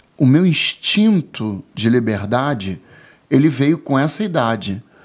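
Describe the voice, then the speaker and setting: Over a very clean recording with a silent background, a man talks in a plain, everyday voice at a medium pitch with lively intonation. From Rio de Janeiro, Brazil. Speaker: IT and telecom professional. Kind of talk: casual interview.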